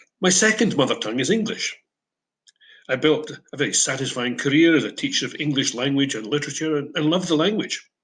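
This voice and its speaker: Very fast speech from a man with an Edinburgh accent, fairly high in pitch, lively in intonation, against a quiet background. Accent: Scottish (Edinburgh). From Scotland, Edinburgh Old Town. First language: Broad Scots. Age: 70s. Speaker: English teacher. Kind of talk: prepared talk.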